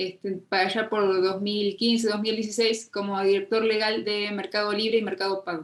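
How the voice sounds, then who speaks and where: With an Argentine accent, a woman speaks at medium pitch and moderate pace in a monotone, flat intonation. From Argentina. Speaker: fintech lawyer, legal consultant. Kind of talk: interview conversation.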